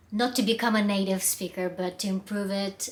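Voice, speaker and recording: A woman of medium pitch speaks with a Russian accent and fairly even intonation. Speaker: public speaking coach. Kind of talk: vlog monologue. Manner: halting, with fillers.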